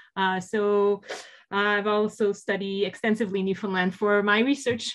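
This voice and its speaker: In a French accent, a woman talks at a fairly slow pace and a medium pitch. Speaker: political science professor. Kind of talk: panel discussion. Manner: halting.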